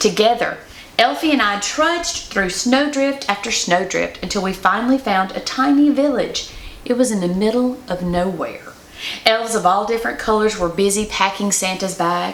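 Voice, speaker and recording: Noticeable background noise runs behind a woman with a fairly high voice. She talks at a moderate pace with lively intonation. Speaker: Mrs. Claus performer. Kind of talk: children's picture book read-aloud.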